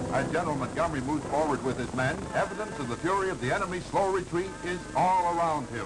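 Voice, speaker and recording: Someone speaks at a very fast pace while clear music plays in the background. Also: hardly any pauses. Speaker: newsreel narrator. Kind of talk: wartime newsreel narration. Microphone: old recording.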